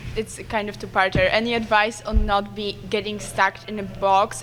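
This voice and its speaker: Woman at a moderate pace, with noticeable background noise. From Poland. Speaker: audience member asking a question. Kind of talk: audience question at panel. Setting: convention panel with audience.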